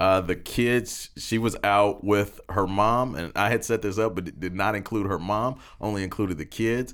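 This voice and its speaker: In a very clean recording with a silent background, a man with an unremarkable speaking voice talks at a moderate pace, his fairly low pitch carrying fairly even intonation. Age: 30s. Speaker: church staff, newcomers ministry assistant director. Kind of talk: casual interview.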